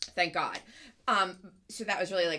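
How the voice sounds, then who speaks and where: A woman speaks in an animated way with lively intonation. Her tone is bright and sharp. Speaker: podcast co-host. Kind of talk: casual chat.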